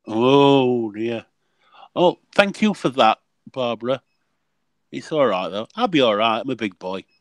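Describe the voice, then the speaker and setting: A man in a Yorkshire accent speaks fairly slowly at a medium pitch, with lively intonation and long, frequent pauses. The sound is dry and close with no echo, over a quiet background. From Yorkshire, England. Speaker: regular panel guest. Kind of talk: casual chat.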